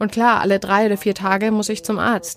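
A woman speaks at a medium pitch. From Spain, Madrid. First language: Spanish (speaking German). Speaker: terror attack survivor. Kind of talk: testimony.

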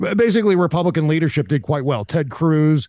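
A man speaks in a normal speaking voice at a fairly high pitch and a moderate pace. His intonation is lively, and the recording is very clean with a silent background. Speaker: political commentator. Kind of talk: casual chat.

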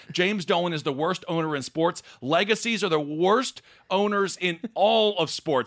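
With an American accent and a high pitch, a man speaks at a moderate pace with ordinary pitch variation on a very clean recording with a silent background. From Wisconsin (Stevens Point). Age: 30s. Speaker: comedian and political commentator. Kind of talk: casual chat.

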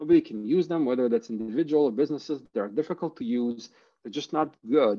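Very fast and with lively intonation, a man speaks at a fairly high pitch. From Ukraine (Kharkiv), then Canada. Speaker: crypto startup founder. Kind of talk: interview. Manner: hesitant, many fillers and repeats.

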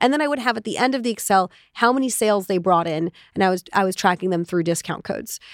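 Speaking at a very fast pace, a woman uses medium pitch and lively intonation. The recording is very clean and dry, close with no echo, over a silent background. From Israel. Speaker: entrepreneur. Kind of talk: interview.

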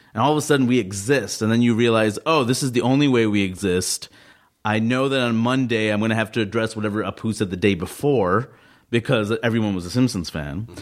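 With an American accent, a man talks at a very fast pace. His pitch is medium, with ordinary pitch variation. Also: very clean recording, silent background. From New York. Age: 30s. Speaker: comedian. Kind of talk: casual chat.

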